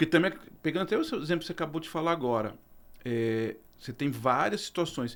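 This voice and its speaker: Speaking very fast but with long, frequent pauses, a man uses a fairly high pitch in a very clean recording with a silent background. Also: lively intonation. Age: 50s. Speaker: podcast host. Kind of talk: podcast interview.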